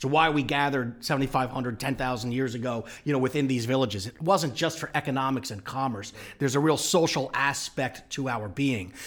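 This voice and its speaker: An unremarkable speaking voice talks at a fairly quick pace with ordinary pitch variation. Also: man, medium pitch for a man. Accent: American. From US Northeast, Long Island. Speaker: urban real estate strategist. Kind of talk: interview conversation.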